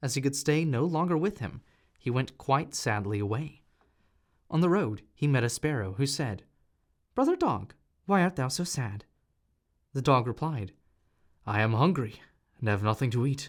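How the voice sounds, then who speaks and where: The recording is very clean with a silent background as a man with a fairly high pitch speaks at a moderate pace, using lively intonation and long, frequent pauses. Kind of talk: audiobook reading.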